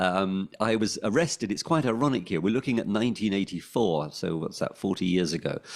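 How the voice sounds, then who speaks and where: In a London accent, a man with a fairly low pitch speaks with lively intonation on a very clean recording with a silent background. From London, England. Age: 60s. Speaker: former pirate radio DJ. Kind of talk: interview. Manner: hesitant, many ums and restarts.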